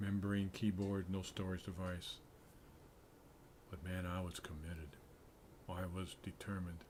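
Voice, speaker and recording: A man with a very deep, low pitch and a somewhat breathy voice speaks in a monotone, flat intonation, with long, frequent pauses. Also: moderate pace. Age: 70s. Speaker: programmer streaming game development. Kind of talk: casual livestream talk. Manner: halting, with fillers.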